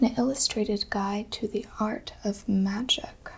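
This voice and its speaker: A soft-spoken woman with a gentle tone talks at a fairly slow pace over light background noise. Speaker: bookseller or librarian roleplay. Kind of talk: soft roleplay narration. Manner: soft, gentle ASMR voice. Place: home room.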